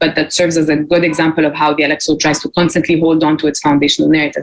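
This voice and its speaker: A woman talks at a very fast pace in an Arabic accent. Her pitch is fairly low. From Egypt. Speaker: graduate student researcher. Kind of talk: conference presentation.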